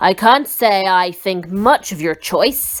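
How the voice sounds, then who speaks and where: In a put-on, gruff character voice, a female-sounding speaker talks at a middle pitch and a fairly slow pace. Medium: read story. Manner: gruff, impatient.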